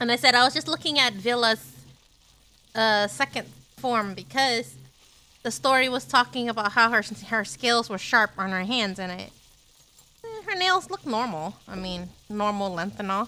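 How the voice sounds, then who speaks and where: The speaker moves at a moderate pace with lively intonation and big swings in loudness, broken by long, frequent pauses. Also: woman, fairly high pitch for a woman. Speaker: streamer. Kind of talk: casual chat. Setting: live stream.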